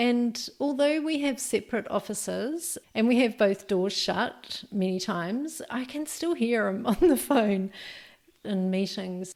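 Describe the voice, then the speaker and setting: In a New Zealand accent, a woman talks at a fairly slow pace. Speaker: podcast host, entrepreneur coach. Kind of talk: podcast monologue. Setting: home office. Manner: halting, with ums and ahs.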